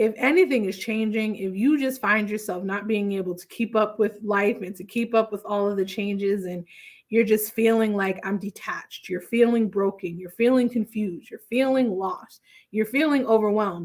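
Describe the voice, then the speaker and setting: Here is a woman with an ordinary speaking voice, pitched fairly high and moving at a moderate pace. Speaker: therapist. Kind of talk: casual livestream talk.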